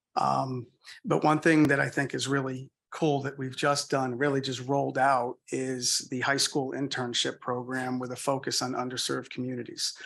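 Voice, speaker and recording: At a moderate pace and a medium pitch, a man speaks with a slight Boston accent and monotone, flat intonation over a quiet background. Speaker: audit firm presenter. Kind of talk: answering questions in a meeting; business presentation. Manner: hesitant, many fillers.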